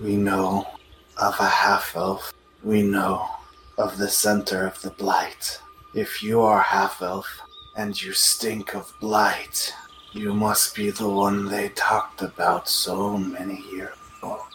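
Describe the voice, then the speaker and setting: Someone delivers a put-on character voice at a fairly slow pace. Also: man, fairly low pitch for a man. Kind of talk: broken pidgin speech. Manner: cryptic, sly.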